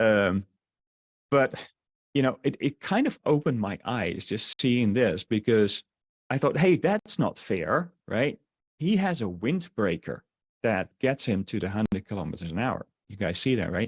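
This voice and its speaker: With a slight Dutch accent and very wide pitch swings, the speaker goes at a fairly slow pace in a dry, close sound with no echo. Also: man, medium pitch for a man. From Netherlands. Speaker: online marketer. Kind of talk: sales webinar. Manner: halting, many fillers.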